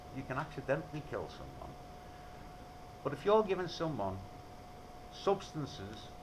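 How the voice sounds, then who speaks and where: There is noticeable background noise and audible room echo as a man speaks with a Liverpool accent. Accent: Liverpool (Scouse). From Liverpool, England. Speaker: video blogger. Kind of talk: rant. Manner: animated; halting.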